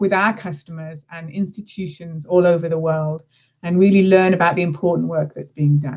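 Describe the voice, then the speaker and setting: A woman with an English accent. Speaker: marketing executive. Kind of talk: presentation.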